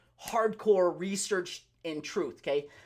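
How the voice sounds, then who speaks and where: The voice is loud, with ordinary pitch variation. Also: man. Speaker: pharmacist and naturopathy practitioner giving health talk. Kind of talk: live Q&A health talk. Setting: livestream. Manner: fast.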